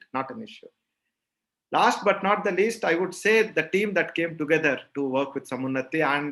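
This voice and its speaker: A man with a South Indian accent, fairly quick and lively in intonation. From South India, Rayalaseema region (Andhra/Karnataka). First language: Telugu. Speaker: agri-fintech company founder. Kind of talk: interview conversation.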